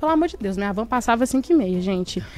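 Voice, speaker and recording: Against music in the background, a woman speaks with very wide pitch swings. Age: 20s. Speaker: podcast co-host. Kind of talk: casual panel discussion.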